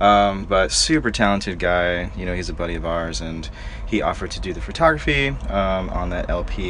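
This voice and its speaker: A man with an American accent talks at a fairly quick pace. Noticeable background noise and audible room echo fill the recording. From Florida. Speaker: band guitarist. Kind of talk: casual chat. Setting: parked tour van.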